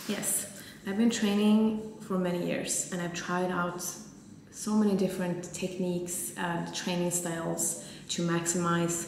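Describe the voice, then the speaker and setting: The voice moves at a fairly slow pace with monotone, flat intonation. Light background noise and audible room echo are present. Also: woman. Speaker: fitness vlogger. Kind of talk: casual vlog chat. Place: gym.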